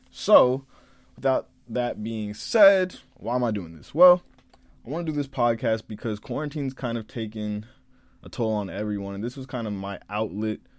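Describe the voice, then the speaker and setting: A normal speaking voice with lively intonation and big swings in loudness at a moderate pace, in a very clean recording over a silent background. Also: man, medium pitch for a man. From Maryland, Prince George's County (DC area). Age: young. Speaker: college student podcaster. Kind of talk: casual monologue podcast.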